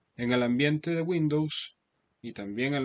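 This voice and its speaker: This man's pitch varies in an ordinary way as he talks fairly slowly. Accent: Venezuelan. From Venezuela. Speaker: Excel instructor. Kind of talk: lecture. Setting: video call. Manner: halting.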